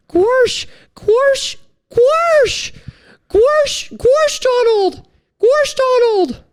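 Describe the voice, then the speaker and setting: Using a squeaky, extremely high put-on character voice, the speaker goes at a very slow pace with long, frequent pauses. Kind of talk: cartoonish.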